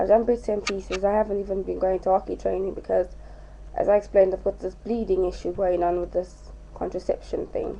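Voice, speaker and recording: Talking at a fairly quick pace, a woman speaks with a British accent. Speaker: vlogger. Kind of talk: casual vlog. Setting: at home.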